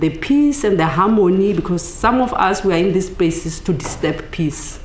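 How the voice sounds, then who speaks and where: A woman with a South African accent talks at a moderate pace with lively intonation. Noticeable background noise and audible room echo surround her voice. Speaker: academic. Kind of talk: book launch talk. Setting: panel with audience.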